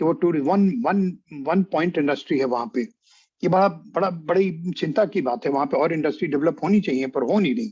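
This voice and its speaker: A man's voice with a dark, mellow tone. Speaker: history professor. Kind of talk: lecture. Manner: halting, with filler sounds; mixes Hindi with English.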